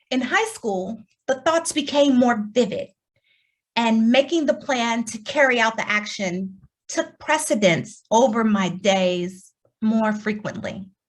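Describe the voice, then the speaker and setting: A somewhat breathy voice with an American accent, lively intonation and a fairly slow pace. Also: woman, fairly high pitch for a woman. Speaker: keynote speaker. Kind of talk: keynote talk. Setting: virtual forum.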